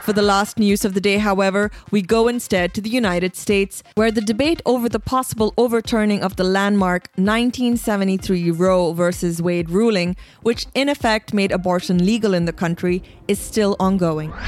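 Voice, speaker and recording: A woman talks at a moderate pace with a medium pitch and ordinary pitch variation. She has an unremarkable speaking voice. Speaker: podcast host. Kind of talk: formal news reading, scripted press-review bulletin. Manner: measured, even and neutral newsreader delivery; crisp, steady pace with clear enunciation.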